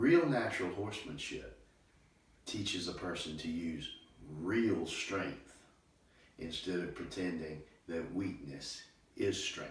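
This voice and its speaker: Long, frequent pauses break up a man's somewhat breathy speech at a fairly slow pace. Audible room echo is present, and his pitch varies in an ordinary way. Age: 60s. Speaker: horse trainer. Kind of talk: monologue.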